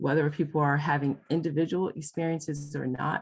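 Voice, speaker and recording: Here is a woman with an American accent and a very deep, low pitch. She talks at a moderate pace with fairly even intonation. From US Midwest, Detroit. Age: 60s. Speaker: couples therapist and trainer. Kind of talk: lecture.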